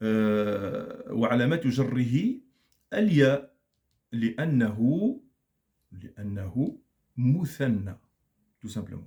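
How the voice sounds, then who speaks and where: The voice is somewhat breathy with a dark, mellow tone, moving at a very slow pace with lively intonation and long, frequent pauses. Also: man, medium pitch for a man. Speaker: Arabic grammar teacher. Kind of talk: lecture.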